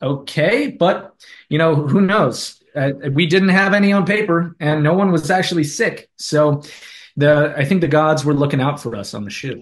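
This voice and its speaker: This man keeps a moderate speed. The rise and fall of his pitch is ordinary. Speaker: actor interviewee. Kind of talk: interview answer. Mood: relaxed, amused. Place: home room. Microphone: video call.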